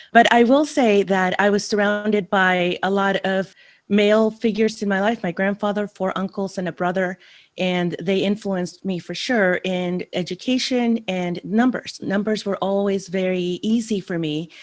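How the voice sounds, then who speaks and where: A woman speaks in a Spanish accent at a moderate pace. Her intonation stays fairly even. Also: medium pitch for a woman, very clean recording, silent background. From El Salvador (San Salvador), then San Francisco from 11. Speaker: finance consultant, guest. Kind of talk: interview conversation.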